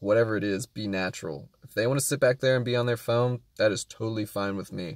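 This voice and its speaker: On a very clean recording with a silent background and a dry, close sound with no echo, a man with an ordinary speaking voice talks at medium pitch and a moderate pace with ordinary pitch variation. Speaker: rideshare driver and vlogger. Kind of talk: casual vlog talk. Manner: calm, quiet.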